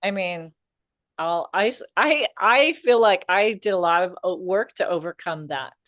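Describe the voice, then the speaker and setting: A woman with an ordinary speaking voice and an American accent, medium in pitch, at a fairly slow pace with lively intonation, in a dry, close sound with no echo and a quiet background. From US. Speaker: comedian, podcast co-host. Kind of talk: casual chat.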